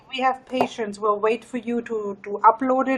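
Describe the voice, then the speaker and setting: With a German accent, a woman speaks at a moderate pace in a fairly high voice. Her intonation is fairly even, and background noise is noticeable. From Germany. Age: 30s. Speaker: live streamer. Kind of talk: casual chat. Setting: live stream.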